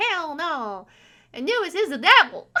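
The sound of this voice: Putting on a character voice in a South Texas accent, a female-sounding speaker goes extremely high in pitch and swings it very widely, all at a fairly slow pace. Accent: Southern Texas.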